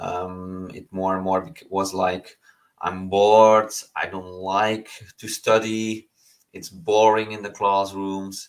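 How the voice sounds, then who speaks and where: A man's fairly low voice in a non-native accent, monotone and flat, very slow, with big swings in loudness. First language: not English. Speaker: online business coach. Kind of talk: online lesson. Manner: halting, many fillers.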